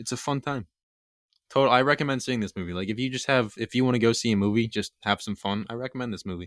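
A man at medium pitch with ordinary pitch variation and a very fast pace, in a dry, close sound with no echo on a very clean recording with a silent background. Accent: Philadelphia. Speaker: podcast co-host. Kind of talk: casual chat.

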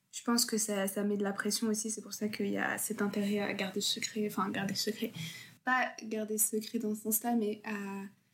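Monotone, flat intonation in a somewhat breathy voice. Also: woman. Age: 20s. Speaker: law student. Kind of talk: casual chat.

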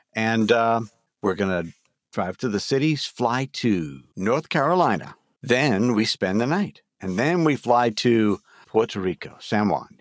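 A man with an American accent and medium pitch swings his pitch very widely, recorded with a dry, close sound with no echo against a quiet background. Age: 60s. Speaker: voice actor. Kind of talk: casual chat.

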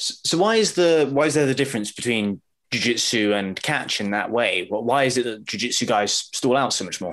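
A man talks at a moderate pace with hardly any pauses, his pitch medium and his intonation lively. He has an unremarkable speaking voice. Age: 20s. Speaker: podcast host. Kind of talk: casual interview chat.

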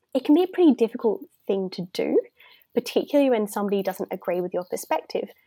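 A woman with an Australian accent, dark and mellow in tone, fairly high in pitch, very fast, with very wide pitch swings, in a dry, close sound with no echo on a very clean recording with a silent background. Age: 20s. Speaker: youth activist and speaker. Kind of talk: interview.

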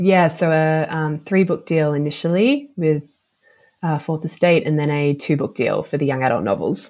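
A woman's very deep, low voice in an Australian accent, at a moderate pace with ordinary pitch variation. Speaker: novelist. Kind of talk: interview. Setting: remote call from Australia.

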